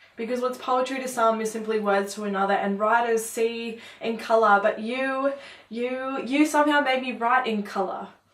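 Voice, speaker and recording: Over noticeable background noise, a woman speaks at a moderate pace. Her pitch variation is ordinary. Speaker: poet. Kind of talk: spoken word poetry performance.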